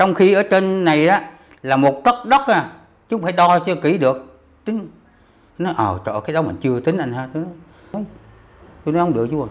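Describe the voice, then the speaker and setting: Pitched high, a man speaks at a moderate pace with very wide pitch swings and long, frequent pauses. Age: 70s. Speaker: war veteran. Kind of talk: testimony. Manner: halting. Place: home room.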